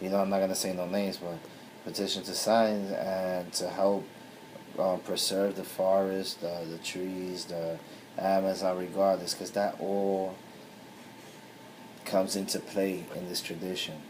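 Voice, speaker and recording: This man's voice has a very deep, low pitch and a monotone, flat delivery at a fairly slow pace. Long, frequent pauses break up his speech, and room echo is audible. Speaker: spiritual tradition priest. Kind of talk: video talk.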